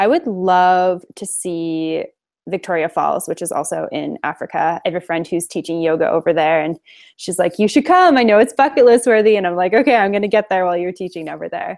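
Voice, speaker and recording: This woman has an ordinary speaking voice and a Canadian accent, pitched in the medium range. She talks at a fairly quick pace with ordinary pitch variation. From Alberta, Canada. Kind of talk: interview. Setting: video call.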